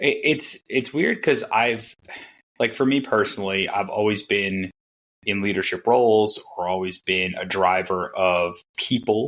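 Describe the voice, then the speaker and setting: In a very clean recording with a silent background, a man with an American accent speaks fairly slowly at a fairly low pitch with ordinary pitch variation. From Long Island, New York. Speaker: management consultant. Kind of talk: casual interview chat.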